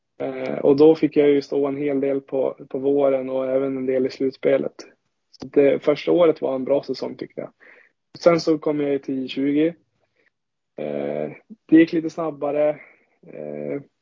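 Speaking at a fairly slow pace, a man with a fairly high pitch keeps a monotone, flat intonation, with big swings in loudness and long, frequent pauses. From Sweden, Ångermanland (Bollstabruk). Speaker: ice hockey goaltender. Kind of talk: podcast interview.

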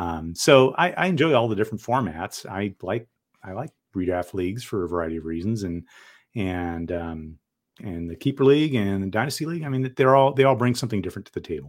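A man with a Californian accent, fairly low in pitch, at a very fast pace with very wide pitch swings. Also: very clean recording, silent background. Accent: General American (Californian). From US West Coast (San Diego, California). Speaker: co-founder and tech manager of a fantasy football site. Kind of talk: casual interview.

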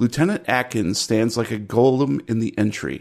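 A man's medium-pitched voice moves at a moderate pace. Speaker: tabletop role-playing game master. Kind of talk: actual-play game narration. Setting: online session. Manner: animated.

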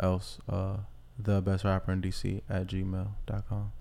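Very deep and low, a man's voice carries an American accent. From Washington, DC. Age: 20s. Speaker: rapper. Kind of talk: casual chat.

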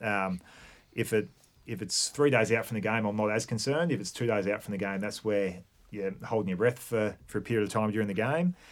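On a very clean recording with a silent background, a man with an Australian accent speaks in a fairly low voice with ordinary pitch variation. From Victoria, Australia. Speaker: high performance manager. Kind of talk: casual chat.

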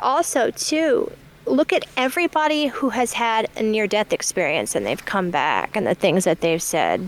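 Recorded dry and close with no echo, a woman with an American accent uses vocal fry and a fairly high pitch, her pitch swinging very widely while her loudness stays very even. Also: moderate pace. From US Midwest, Michigan. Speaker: podcast guest. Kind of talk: casual chat.

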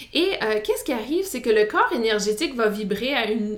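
A woman with an Acadian accent speaks at a fairly high pitch with ordinary pitch variation. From New Brunswick, Canada (Acadian francophone village). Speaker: podcast host and wellness counsellor. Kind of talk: solo podcast monologue. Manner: hesitant, many fillers.

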